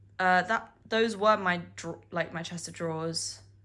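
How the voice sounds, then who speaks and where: The woman has a fairly low pitch and a British accent. Her pitch varies in an ordinary way. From UK. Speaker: university student. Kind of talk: casual vlog talk to camera.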